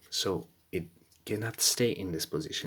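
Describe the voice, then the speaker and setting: Over a very clean recording with a silent background, a woman speaks at a fairly slow pace in a very deep, low pitch. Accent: non-native. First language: not English. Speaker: car repair video maker. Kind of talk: tutorial. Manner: halting.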